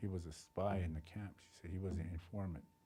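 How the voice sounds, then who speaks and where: A man's very deep, low voice with a dark, mellow tone, somewhat breathy, fairly even intonation and a moderate pace. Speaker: oral historian, family storyteller. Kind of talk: oral history telling to camera.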